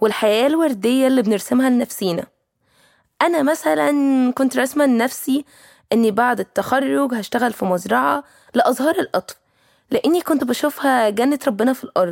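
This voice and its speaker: A woman's high-pitched voice with lively intonation at a moderate pace, on a very clean recording with a silent background and a dry, close sound with no echo. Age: 20s. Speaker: young professional working with children. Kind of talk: personal storytelling monologue.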